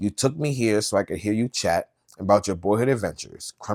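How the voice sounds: Set against a quiet background, the speaker uses a natural reading voice with ordinary pitch variation.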